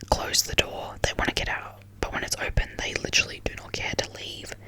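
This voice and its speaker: Whispered words at a moderate pace come through noticeable background noise. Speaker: ASMR content creator. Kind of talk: whispered ASMR ramble talking to camera. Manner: whispered, casual, chatty.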